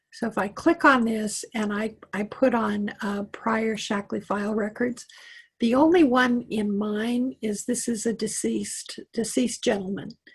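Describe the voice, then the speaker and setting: Against a quiet background, a woman with a fairly high pitch sounds somewhat breathy, her pitch variation ordinary. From Wyoming. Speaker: computer tech coach. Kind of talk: tutorial. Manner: casual, halting with fillers.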